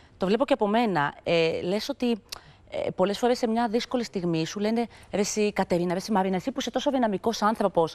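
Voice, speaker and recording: Her pace is fairly quick, with ordinary pitch variation in the woman's voice. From Greece. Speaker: TV talk show host. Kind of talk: talk show interview. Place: studio. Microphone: lapel.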